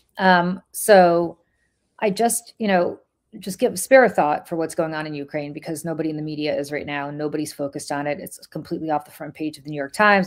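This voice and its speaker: In a very clean recording with a silent background, a woman speaks with a slight Russian accent. Her very deep, low pitch varies in an ordinary way at a fairly quick pace. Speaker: political podcast host. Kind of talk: casual chat.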